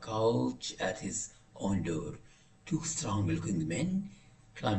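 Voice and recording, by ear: Someone is reading aloud in a natural voice.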